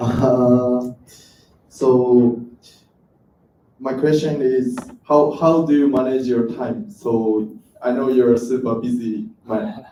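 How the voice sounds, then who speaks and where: In a Japanese accent, a man speaks at a very slow pace with long, frequent pauses, his medium pitch and dark, mellow tone carrying ordinary pitch variation amid audible room echo. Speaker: audience member. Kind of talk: audience question. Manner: halting, hesitant.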